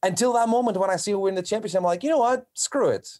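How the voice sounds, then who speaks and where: Very fast, a man with a Portuguese accent talks in a very clean recording with a silent background. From Portugal. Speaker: professional wrestler. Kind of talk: casual chat.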